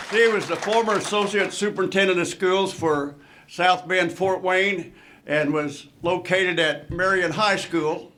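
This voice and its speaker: Delivered at a fairly slow pace with fairly even intonation, the speech carries noticeable background noise and audible room echo. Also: man, high pitch for a man, very even loudness. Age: 80s+. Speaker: retired basketball coach. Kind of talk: acceptance speech.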